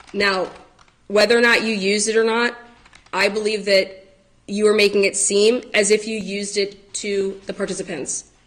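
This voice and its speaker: Noticeable background noise sits behind a woman's voice. She speaks with monotone, flat intonation. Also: medium pitch for a woman. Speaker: protection order petitioner. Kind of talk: court testimony. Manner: fast.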